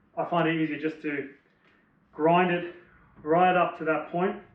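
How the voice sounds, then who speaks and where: Speaking with an Australian accent, a man keeps to a fairly slow pace. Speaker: motorbike DIY vlogger. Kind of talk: tutorial. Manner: casual.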